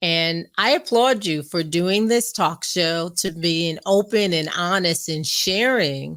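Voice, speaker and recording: An unremarkable speaking voice from a woman with an American accent, fairly low pitch, ordinary pitch variation and a fairly slow pace. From US Northeast, New York area. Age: 60s. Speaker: guest speaker on abstinence and faith. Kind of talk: interview testimony.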